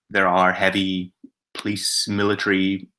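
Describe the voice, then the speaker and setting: The voice has a bright, sharp tone and a Northern Irish accent, captured in a very clean recording with a silent background. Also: man. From Northern Ireland. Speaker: adventurer, filmmaker and author. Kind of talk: presentation to schoolchildren about his travels. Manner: hesitant, many filler words.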